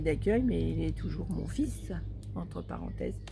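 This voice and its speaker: The speech moves at a moderate pace. Music plays in the background, and audible room echo is present. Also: woman. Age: 60s. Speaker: storyteller and adoptive mother. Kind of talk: casual interview chat.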